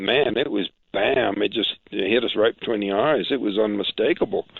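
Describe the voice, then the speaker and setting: Speaking at a moderate pace, the man has a fairly low pitch, fairly even intonation and an unremarkable speaking voice. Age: 60s. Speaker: interview guest, alleged alien abductee. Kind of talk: interview, personal account.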